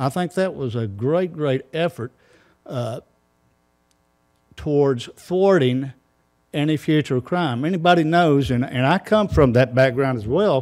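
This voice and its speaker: A man with a Tennessee accent and a fairly high pitch, at a fairly slow pace with long, frequent pauses and ordinary pitch variation. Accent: Southern US (Tennessee). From US South. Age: 60s. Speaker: neighborhood association president. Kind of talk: public comment at council meeting. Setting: city council chamber.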